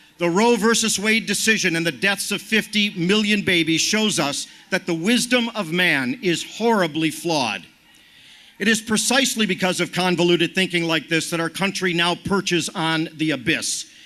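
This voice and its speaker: Over noticeable background noise, a man with a high-pitched voice speaks at a moderate pace. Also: ordinary pitch variation. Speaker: activist speaker. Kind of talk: rally speech.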